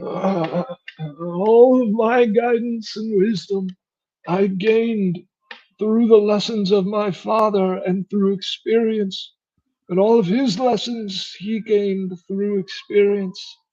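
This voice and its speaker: A man puts on a character voice pitched high. He talks at a fairly slow pace with fairly even intonation. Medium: actual play. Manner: calm, solemn, fatherly.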